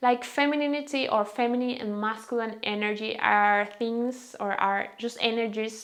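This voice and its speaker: A woman with a Venezuelan accent, fairly high in pitch, fairly slow in pace, with fairly even intonation. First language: Spanish. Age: 20s. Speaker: lifestyle vlogger. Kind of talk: casual vlog talk. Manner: halting.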